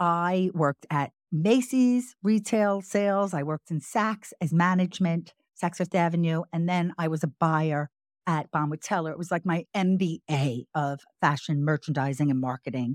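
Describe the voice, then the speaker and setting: With an American accent and a plain, everyday voice, a woman speaks at a fairly low pitch and moderate pace, with ordinary pitch variation, in a dry, close sound with no echo. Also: very clean recording, silent background. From New York, Long Island. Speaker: podcast host. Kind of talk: casual chat.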